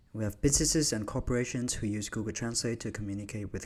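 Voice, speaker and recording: A man's medium-pitched voice with a Vietnamese accent at a very fast pace. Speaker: university student. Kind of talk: scripted narration.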